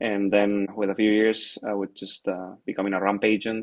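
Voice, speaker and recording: At a moderate pace, a man with a Spanish accent speaks at a fairly low pitch in a monotone, flat intonation. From Spain. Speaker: airline captain. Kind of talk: interview. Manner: hesitant, many fillers.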